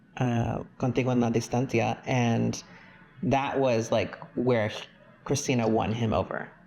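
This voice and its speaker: A man with an American accent speaks fairly slowly in a medium pitch, with fairly even intonation and very even loudness. Noticeable background noise runs underneath. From Texas. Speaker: podcast guest, pop music fan. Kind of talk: casual chat.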